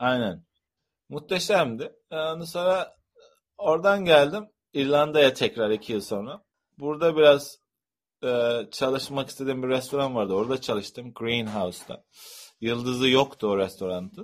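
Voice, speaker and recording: It is a plain, everyday voice with lively intonation. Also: man, medium pitch for a man, fairly slow pace. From Turkey. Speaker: chef and restaurant owner. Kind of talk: interview.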